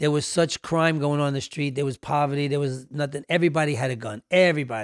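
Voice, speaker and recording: A man with a New York accent talks at a very fast pace in a fairly high pitch, his intonation fairly even. The recording is very clean, with a silent background and a dry, close sound with no echo. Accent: New York (Bronx). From New York City, South Bronx. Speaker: music executive. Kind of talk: casual interview chat.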